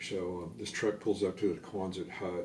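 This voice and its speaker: In a room with audible echo, a man speaks at a moderate pace with a very deep, somewhat breathy voice and ordinary pitch variation. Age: 60s. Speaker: army veteran. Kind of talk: oral history interview. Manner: hesitant, many fillers and repetitions.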